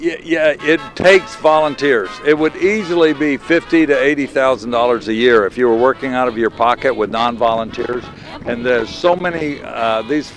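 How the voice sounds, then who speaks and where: A man's medium-pitched voice at a moderate pace, with ordinary pitch variation and music in the background. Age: 70s. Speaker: veteran pilot. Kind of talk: interview. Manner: halting.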